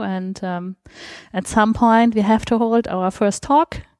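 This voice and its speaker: In a normal speaking voice, the speaker goes at a fairly slow pace on a very clean recording with a silent background. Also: woman. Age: 30s. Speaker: open source program participant. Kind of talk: interview.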